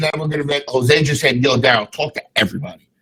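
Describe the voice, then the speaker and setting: A bright, sharp tone marks this man's speech. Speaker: podcast host. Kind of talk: casual chat. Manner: boisterous.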